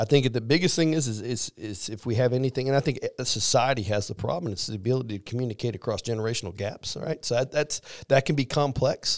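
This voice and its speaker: With a Missouri accent, a man talks at a very fast pace and a medium pitch. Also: ordinary pitch variation, very clean recording, silent background. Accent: Midwestern US (Missouri). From Missouri, small rural town. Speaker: army command sergeant major. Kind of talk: interview. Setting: studio.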